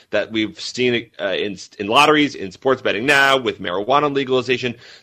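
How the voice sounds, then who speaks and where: Speaking very fast, a man has a medium pitch with ordinary variation and a bright, sharp tone. The background is quiet. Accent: American. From Massachusetts. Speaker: author. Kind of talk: interview. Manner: halting, repeats words and fillers.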